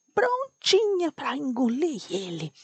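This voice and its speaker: A woman whispers with a dry, close sound with no echo. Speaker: bedtime story narrator. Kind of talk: sleep story for children. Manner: slow, almost whispering.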